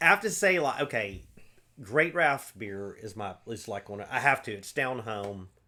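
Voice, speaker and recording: The bright, sharp voice makes very wide pitch swings and big swings in loudness in a very clean recording with a silent background. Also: man, medium pitch for a man, moderate pace. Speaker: podcast host. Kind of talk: casual chat.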